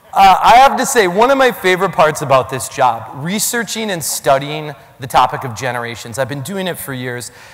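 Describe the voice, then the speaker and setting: A man's fairly high, animated voice with very wide pitch swings, a fairly quick pace and a strong Minnesota accent, over noticeable background noise. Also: big swings in loudness. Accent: Minnesota accent, thick O. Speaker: keynote speaker on generations. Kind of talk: keynote talk. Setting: stage with audience.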